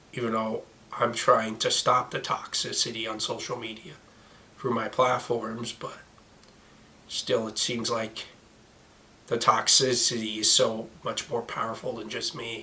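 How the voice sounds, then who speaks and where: Over noticeable background noise, a man speaks at a fairly slow pace with long, frequent pauses and monotone, flat intonation. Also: medium pitch for a man. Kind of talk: casual talk to camera.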